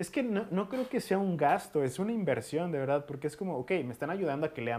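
In a Mexican accent, a man races along at a very fast pace with lively intonation. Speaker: podcast host; booktuber. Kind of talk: casual chat.

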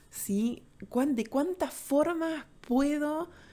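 Very slowly, a woman talks in a dark, mellow tone. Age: 30s. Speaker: podcast host, holistic therapist. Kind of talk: solo podcast monologue.

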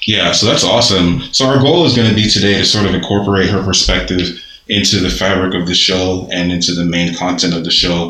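Talking at a fairly quick pace in an American accent, a man with a very deep, low voice keeps very even loudness and ordinary pitch variation, with noticeable background noise and audible room echo. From Nigerian American. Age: 30s. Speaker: podcast host. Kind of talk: casual interview. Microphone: muffled by face mask.

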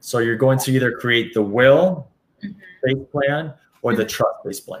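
Speaking at a fairly slow pace, the voice sounds somewhat breathy. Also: man. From Colombia, moved to US at 12. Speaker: estate planning company representative, former banker. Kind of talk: interview. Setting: live stream.

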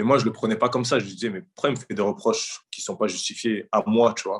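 At a fairly quick pace, a man speaks with medium pitch and ordinary pitch variation against a quiet background. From Paris suburbs, France. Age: 30s. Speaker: professional footballer. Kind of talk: casual interview. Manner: halting.

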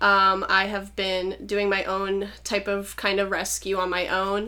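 Audible room echo surrounds a woman speaking at a fairly slow pace. Her medium-pitched voice has a bright, sharp tone. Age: 20s. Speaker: animal rescuer and sex worker. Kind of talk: casual interview. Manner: hesitant with many fillers.

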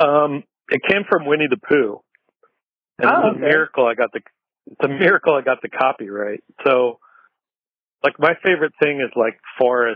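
A man's fairly high voice at a moderate pace, lively in intonation and marked by long, frequent pauses. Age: 40s. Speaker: skateboard journalist and talk show host. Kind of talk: casual chat. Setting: outdoors on patio, remote call.

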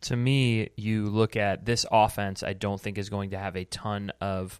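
An unremarkable speaking voice from a man, fairly low in pitch, with fairly even intonation. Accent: American. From United States. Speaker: podcast host and sports editor. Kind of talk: casual chat.

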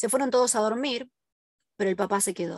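A woman with a fairly high pitch speaks in a Rioplatense accent. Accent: Argentine Rioplatense Spanish. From Argentina, southern (Ushuaia). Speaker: podcast host, forensic criminologist. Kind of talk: first-person testimony narration.

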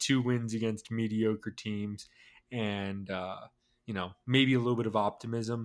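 Here is a man with an ordinary speaking voice and an American accent, pitched at a medium level. He speaks at a moderate pace in a very clean recording with a silent background. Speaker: sports podcast co-host. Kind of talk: casual sports chat.

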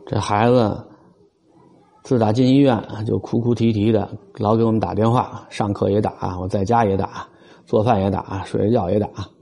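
Over noticeable background noise, a man speaks at a moderate pace with a fairly low pitch and fairly even intonation. His speech has long, frequent pauses. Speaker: podcaster, parent of a sick child. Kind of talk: casual monologue. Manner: hesitant, repetitive fillers. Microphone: close mic picks up swallowing.

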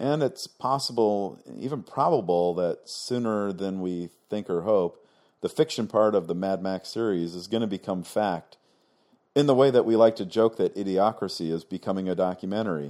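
In an American accent, a man speaks with a fairly low pitch and a dark, mellow tone at a moderate pace. His pitch variation is ordinary, and the recording is very clean with a silent background. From California. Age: 50s. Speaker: film podcast host. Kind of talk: scripted narration. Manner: formal.

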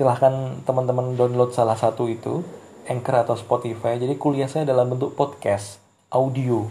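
A somewhat breathy man speaks at a medium pitch and a moderate pace, his intonation monotone and flat. Audible room echo surrounds his voice. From Indonesia, Ponorogo, East Java. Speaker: university lecturer. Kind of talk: lecture. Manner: hesitant, many fillers.

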